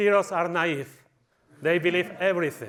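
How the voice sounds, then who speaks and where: Animated in tone, a man with a Spanish accent talks at a high pitch for a man. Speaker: conference speaker. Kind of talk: conference talk. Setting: stage with audience.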